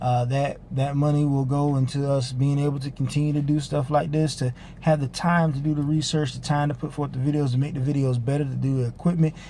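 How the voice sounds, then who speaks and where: At a very fast pace, a man with a fairly high pitch speaks in a somewhat breathy, dark, mellow voice with monotone, flat intonation. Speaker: online ministry teacher. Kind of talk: spiritual teaching video. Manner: casual with filler uhs.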